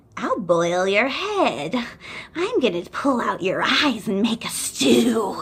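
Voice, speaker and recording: Using a put-on character voice, a woman talks at a fairly slow pace and a fairly high pitch. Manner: menacing, cackling, outrageous.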